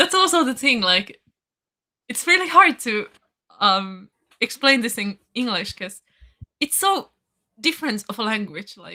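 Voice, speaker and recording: Her pitch fairly high, a woman speaks at a fairly slow pace with very wide pitch swings, big swings in loudness and long, frequent pauses. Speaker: language channel volunteer. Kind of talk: casual chat.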